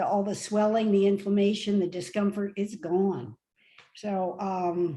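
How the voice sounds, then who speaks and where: A woman speaks at a fairly slow pace, somewhat breathy. Her pitch is medium and her tone dark and mellow. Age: 70s. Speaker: retired nurse, plant-based diet advocate. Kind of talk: casual interview. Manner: hesitant, many fillers.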